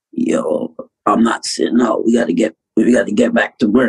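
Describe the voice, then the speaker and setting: A man talks at a moderate pace in a put-on character voice. The voice is raspy. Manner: determined, insistent.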